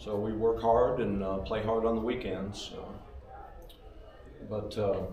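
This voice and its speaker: With an American accent, the speaker talks at a fairly slow pace with fairly even intonation, amid noticeable background noise and audible room echo. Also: man, fairly low pitch for a man. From Nebraska, US Midwest. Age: 60s. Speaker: catfish angler and small business owner. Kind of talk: seminar presentation.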